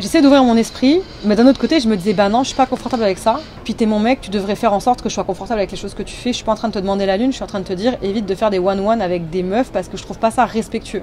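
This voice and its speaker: Over noticeable background noise, someone talks at a very fast pace with ordinary pitch variation. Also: woman, fairly high pitch for a woman. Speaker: YouTuber. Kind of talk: casual storytime talk to camera. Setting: recorded on phone microphone.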